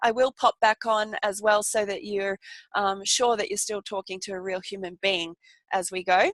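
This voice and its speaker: A woman with an Australian accent talks at a fairly quick pace, the sound dry and close with no echo. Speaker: holistic nurse and wellness coach. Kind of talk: online workshop presentation. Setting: live video webinar. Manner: fast; animated.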